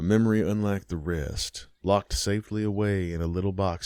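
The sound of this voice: This recording features an unforced reading voice.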